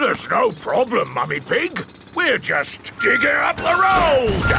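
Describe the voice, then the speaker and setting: In a cartoonish character voice, a man talks at a fairly slow pace over loud background noise. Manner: loud, blunt.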